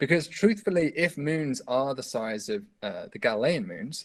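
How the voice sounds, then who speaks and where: Man's fairly high voice at a fairly quick pace, with very wide pitch swings. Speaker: astronomy professor. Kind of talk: academic seminar talk. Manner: fast.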